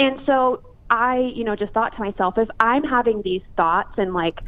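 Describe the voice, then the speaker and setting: A woman with a normal speaking voice, fairly high pitch, lively intonation and a fairly slow pace. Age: 20s. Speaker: fitness influencer. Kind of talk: interview.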